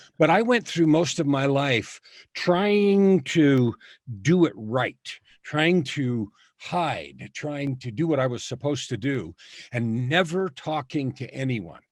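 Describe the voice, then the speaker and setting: On a very clean recording with a silent background, a man speaks very slowly in a fairly high pitch with lively intonation. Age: 60s. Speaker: author and coach. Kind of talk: testimony.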